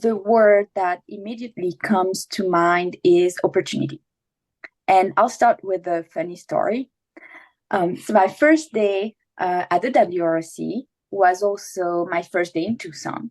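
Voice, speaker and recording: At a fairly slow pace, a woman with a non-native accent speaks at medium pitch in a dry, close sound with no echo. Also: ordinary pitch variation. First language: not English. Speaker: water agency manager, former graduate assistant. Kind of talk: prepared remarks in a webinar. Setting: virtual webinar.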